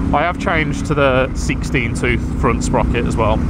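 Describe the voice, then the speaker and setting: A man is speaking amid noticeable background noise, and audible room echo is present. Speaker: motorcycle vlogger. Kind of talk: casual motovlog monologue.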